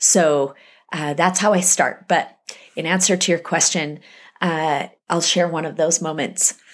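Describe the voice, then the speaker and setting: This woman has an ordinary speaking voice and a fairly low pitch, with an American accent. She goes at a fairly slow pace with fairly even intonation, and the recording is very clean with a silent background. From US West, Salt Lake City, Utah. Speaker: author. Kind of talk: interview.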